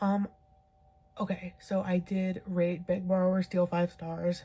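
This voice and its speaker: This soft-spoken voice has a dark, mellow tone and sounds somewhat breathy. The pace is very slow. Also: woman. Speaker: book reviewer. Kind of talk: casual video monologue. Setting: home at night. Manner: quiet, soft-spoken; filler-heavy, casual.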